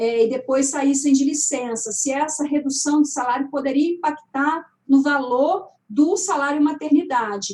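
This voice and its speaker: Speaking fairly slowly, a woman uses a high register and normal pitch movement. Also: hardly any pauses. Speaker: labour judge and law professor. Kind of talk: online panel debate. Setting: live stream.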